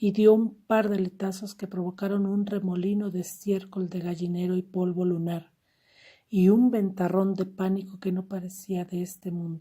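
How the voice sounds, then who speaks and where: This woman's voice has a dark, mellow tone and is somewhat breathy. Her intonation stays flat and monotone at a moderate pace. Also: medium pitch for a woman. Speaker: audiobook narrator. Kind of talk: audiobook literary reading.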